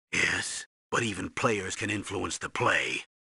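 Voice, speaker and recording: In a put-on character voice, a man growls at a fairly slow pace and a fairly low pitch, the sound dry and close with no echo. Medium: video game.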